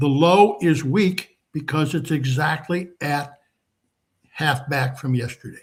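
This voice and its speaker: This man's voice sits fairly high and is somewhat breathy. His pitch varies in an ordinary way. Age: 80s+. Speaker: market trading educator. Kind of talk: live market commentary seminar. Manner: relaxed, conversational with fillers.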